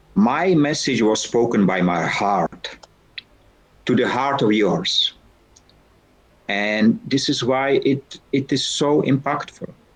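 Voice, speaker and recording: A man's medium-pitched voice at a fairly slow pace, with lively intonation. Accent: Czech. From Czech Republic. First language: Czech. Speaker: founder and keynote speaker. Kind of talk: guest talk in online lecture. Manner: halting.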